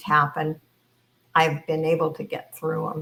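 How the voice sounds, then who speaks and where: A woman's voice with a bright, sharp tone. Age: 80s+. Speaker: YouTuber. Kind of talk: casual monologue; reading aloud. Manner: halting.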